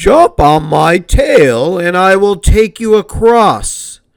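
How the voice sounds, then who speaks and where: A put-on character voice at a very slow pace. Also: man, high pitch for a man. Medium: read story. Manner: polite, smooth, cunning.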